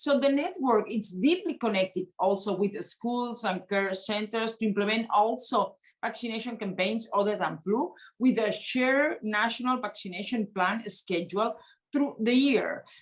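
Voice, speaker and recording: A woman with a Spanish accent speaks at a moderate pace in a fairly high, somewhat breathy voice. Her pitch varies in an ordinary way. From Spain. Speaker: member of European Parliament. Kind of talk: panel discussion. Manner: halting, many fillers.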